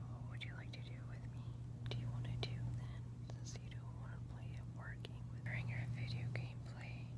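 A soft-spoken woman whispering at a fairly quick pace. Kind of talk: soft role-play talk to viewer. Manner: soft, intimate ASMR near-whisper. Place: home room. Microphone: phone near.

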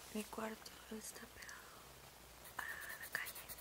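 The speech comes at a very slow pace. The sound is dry with no echo, set against loud background noise. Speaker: ASMR creator. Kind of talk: ASMR whisper video. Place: home room. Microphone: phone near.

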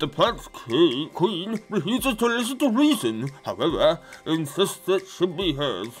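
A put-on character voice is heard with clear music playing behind it. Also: man. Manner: formal, scheming.

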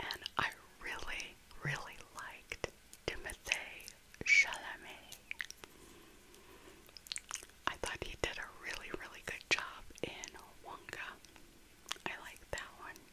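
A soft-spoken woman whispers with big swings in loudness and long, frequent pauses over light background noise. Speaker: vlogger. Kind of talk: casual vlog chat. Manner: slow soft ASMR whisper. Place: home room. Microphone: earbuds.

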